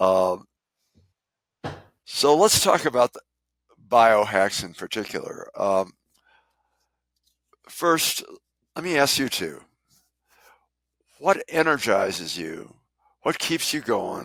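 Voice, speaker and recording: Speaking at a very slow pace with vocal fry, a man uses very wide pitch swings and big swings in loudness, with long, frequent pauses. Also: medium pitch for a man. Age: old. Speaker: physician podcast host. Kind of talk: casual interview chat.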